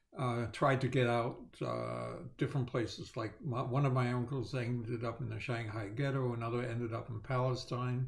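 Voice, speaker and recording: With hardly any pauses, a somewhat breathy man talks with monotone, flat intonation amid audible room echo. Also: medium pitch for a man, moderate pace. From Netherlands. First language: Dutch and German. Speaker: Holocaust survivor. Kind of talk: testimony. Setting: video call. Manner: halting, many fillers.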